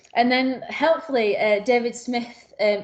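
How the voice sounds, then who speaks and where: A woman speaks at a moderate pace with ordinary pitch variation, while noticeable background noise persists. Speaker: community partnership support officer. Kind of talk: workshop presentation.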